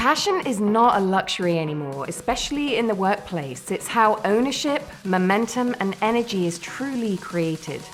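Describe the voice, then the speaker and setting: A woman talks at a moderate pace with lively intonation and a warm tone, hardly pausing, while music plays in the background. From British. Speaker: keynote speaker. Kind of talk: keynote speech. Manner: warm, entertaining; high-energy.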